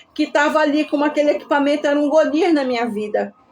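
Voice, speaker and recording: A woman speaks at a high pitch. There is noticeable background noise behind her. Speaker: testimony speaker, ICU survivor. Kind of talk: testimony. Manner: emotional.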